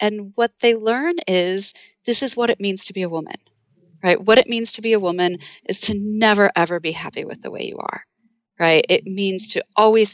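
The woman has an ordinary speaking voice, talking at a moderate pace with a medium pitch and ordinary pitch variation. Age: 40s. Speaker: psychology professor and author. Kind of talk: interview.

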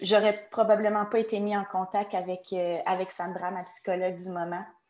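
Her pitch is medium for a woman, and the pace is moderate. The intonation stays monotone and flat. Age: 20s. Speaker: online shop employee. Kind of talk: testimony.

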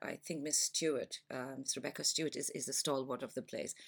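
A woman with a Pakistani accent and a very deep, low pitch, on a very clean recording with a silent background. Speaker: school parent. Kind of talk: podcast interview.

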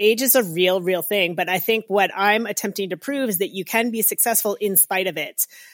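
A woman of medium pitch speaks at a fairly quick pace in a normal speaking voice, with ordinary pitch variation. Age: 50s. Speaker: professional triathlete and race announcer. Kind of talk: interview. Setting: video call.

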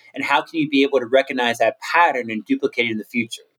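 Music plays in the background as a man speaks with an American accent. His pitch is fairly high with ordinary variation, and the sound is dry and close with no echo. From US, Maryland (Cumberland). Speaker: motivational speaker. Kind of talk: interview. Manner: animated.

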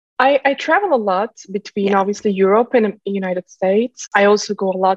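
In a Turkish accent, a woman talks at medium pitch with ordinary pitch variation. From Turkey. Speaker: startup founder and CEO. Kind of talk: podcast interview. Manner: halting.

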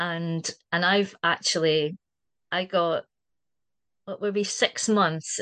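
With a Scottish accent and fairly even intonation, a woman speaks at a fairly slow pace over a quiet background. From Scotland. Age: 60s. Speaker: community member. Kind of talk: casual chat.

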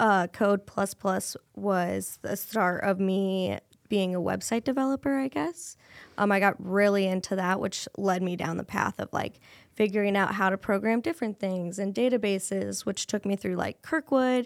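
A woman at a medium pitch with ordinary pitch variation and a moderate pace, on a very clean recording with a silent background and a dry, close sound with no echo. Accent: Midwestern American. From Iowa, Cedar Rapids. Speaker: business development coordinator. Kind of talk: casual interview chat.

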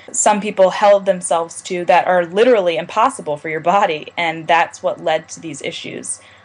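At a moderate pace, a woman talks in an ordinary speaking voice with fairly even intonation. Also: hardly any pauses, big swings in loudness. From Maryland, US. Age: 20s. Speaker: college student, mental health advocate. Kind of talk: interview.

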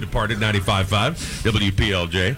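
An enthusiastic, upbeat voice comes through over noticeable background noise. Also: man. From Rhode Island. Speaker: morning radio show host. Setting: live remote broadcast from a bar.

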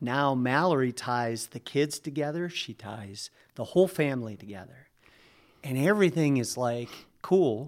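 A man with an American accent and a normal speaking voice talks at medium pitch and a moderate pace, with lively intonation and big swings in loudness. The recording is very clean, with a silent background. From Upper Peninsula of Michigan. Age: 50s. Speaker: church member telling his life story. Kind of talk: testimony. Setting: studio.

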